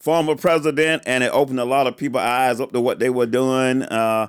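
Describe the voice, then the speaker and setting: With a Southern accent, a man of medium pitch keeps fairly even intonation at a fairly quick pace. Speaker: political candidate and podcast co-host. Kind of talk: casual political podcast chat. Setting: studio.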